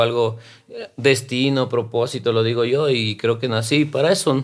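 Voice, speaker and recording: At a fairly slow pace, a man talks in a monotone, flat intonation. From Quito, Ecuador (south); Ecuador. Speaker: rapper and actor; actor. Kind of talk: interview conversation. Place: studio. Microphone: studio mic.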